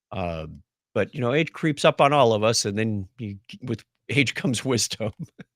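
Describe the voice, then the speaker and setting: Recorded very cleanly against a silent background, a man speaks at a moderate pace and medium pitch with lively intonation, the sound dry and close with no echo. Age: 60s. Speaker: retired IT professional and podcast guest. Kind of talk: casual interview chat. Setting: podcast recording. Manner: halting, frequent fillers and restarts.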